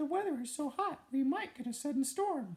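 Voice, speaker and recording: A man's put-on character voice at an extremely high pitch and a fairly quick pace. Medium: read story. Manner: sweet, high-pitched put-on voice.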